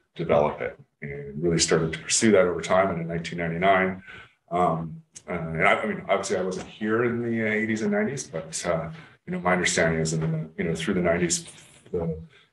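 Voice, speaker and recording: A man with a very deep, low pitch and fairly even intonation at a fairly quick pace, with audible room echo and light background noise. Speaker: council presenter. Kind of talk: presentation. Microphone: video call.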